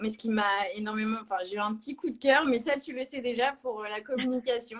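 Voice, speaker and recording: Fairly high in pitch, a woman speaks at a moderate pace. Her intonation stays fairly even. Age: 20s. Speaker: sales representative. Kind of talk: interview. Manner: hesitant, many fillers.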